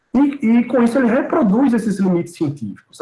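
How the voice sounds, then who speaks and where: Male speaker, fairly quick pace, very wide pitch swings. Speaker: professor. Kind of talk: lecture. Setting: video call.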